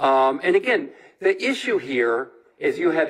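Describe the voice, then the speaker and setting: Here a man speaks at a fairly slow pace. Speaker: defense attorney. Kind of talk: courtroom argument. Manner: loud.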